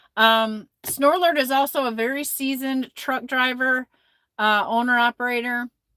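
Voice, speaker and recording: At a moderate pace, the speaker uses fairly even intonation and a bright, sharp tone in an American accent. The sound is dry and close with no echo. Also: woman, high pitch for a woman. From Michigan, Flint. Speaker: trucker and live-stream host. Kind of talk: casual live-stream chat reading comments.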